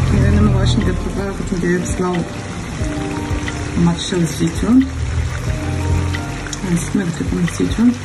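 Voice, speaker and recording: Long, frequent pauses break up the speech, and the background noise is loud. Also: woman, moderate pace. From Morocco, Taroudant. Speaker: home cook. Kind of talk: casual cooking tutorial talk. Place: kitchen. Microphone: phone near.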